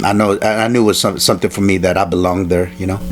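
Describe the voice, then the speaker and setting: With music playing in the background, a man speaks at a fairly low pitch in a Spanish accent. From El Salvador, raised in Alexandria, Virginia. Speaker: martial artist and stuntman. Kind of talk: interview. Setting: in-person interview. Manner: halting, many fillers.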